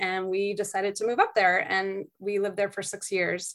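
A woman's normal speaking voice, medium in pitch, with an American accent and a moderate pace. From Massachusetts (Beverly, North Shore). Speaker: French professor. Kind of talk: interview conversation.

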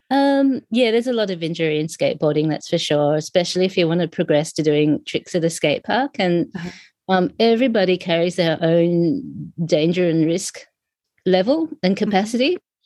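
With an Australian accent, a woman speaks at a moderate pace in a fairly low pitch, her dark, mellow tone and lively intonation captured in a dry, close sound with no echo. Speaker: sociologist and skateboarding community organizer. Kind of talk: interview.

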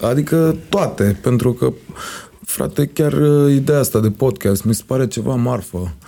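At a fairly slow pace, a man talks in a medium pitch with a dark, mellow tone and ordinary pitch variation. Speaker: music producer and singer. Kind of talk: casual chat.

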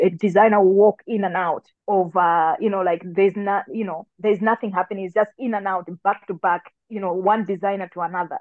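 Speaking at a fairly quick pace with hardly any pauses, a woman keeps a medium pitch and a monotone, flat intonation. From Tanzania. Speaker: entrepreneur and pageant founder. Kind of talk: interview. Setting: studio.

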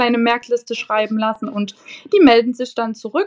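At a moderate pace, a woman talks in a fairly high pitch. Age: 20s. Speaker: nursery teacher. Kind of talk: casual interview.

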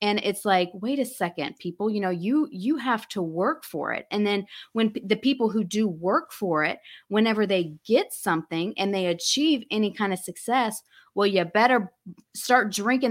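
A woman with an American accent uses an ordinary speaking voice at a medium pitch, speaking at a moderate pace with lively intonation. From US South, Alabama/Florida. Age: 40s. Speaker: skincare entrepreneur. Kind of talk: interview. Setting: video call.

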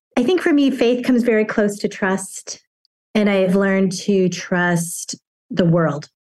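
An unremarkable speaking voice moves at a fairly slow pace with ordinary pitch variation. Its loudness stays very even. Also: woman, medium pitch for a woman. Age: 50s. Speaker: acupuncturist and stand-up comedian. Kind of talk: casual interview. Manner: humorous, laughs often.

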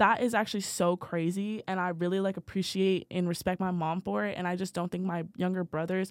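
Using a plain, everyday voice, a woman speaks at a fairly quick pace and medium pitch with fairly even intonation. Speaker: college student podcast co-host. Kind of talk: casual chat.

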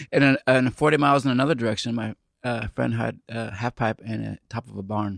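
A man with an American accent speaks at a fairly quick pace in a medium-pitched voice. The sound is dry and close with no echo, the background quiet. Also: fairly even intonation. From Central Illinois. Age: 40s. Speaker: skateboard team manager. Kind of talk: casual chat.

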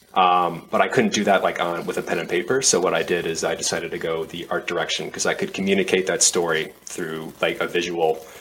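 With an American accent, a man speaks at a very deep, low pitch and a fairly quick pace, barely pausing. Noticeable background noise is present. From US Midwest, Minneapolis area. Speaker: airsoft player and content creator. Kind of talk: casual chat.

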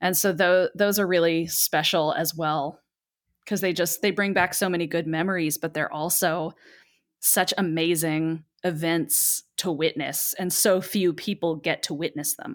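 An ordinary speaking voice, a woman's, fairly low in pitch, with fairly even intonation and a fairly slow pace. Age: 30s. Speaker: Broadway performer. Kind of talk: casual chat.

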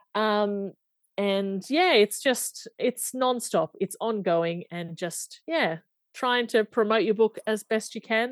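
With an Australian accent, a woman speaks fairly high at a very slow pace. Her intonation is lively, and the background is quiet. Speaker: romance novelist. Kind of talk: interview. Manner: hesitant, many fillers.

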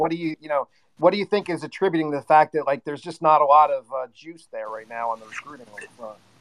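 A man talks with a fairly high pitch and ordinary pitch variation. It is a normal speaking voice. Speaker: sports fan participant. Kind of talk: casual chat. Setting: live online audio room.

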